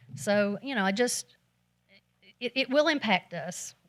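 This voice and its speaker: A woman speaks at a medium pitch. The recording is very clean with a silent background, and the sound is dry and close with no echo. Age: 60s. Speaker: citizen speaking at council meeting. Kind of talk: public comment at city council meeting. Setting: city council chamber. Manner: halting.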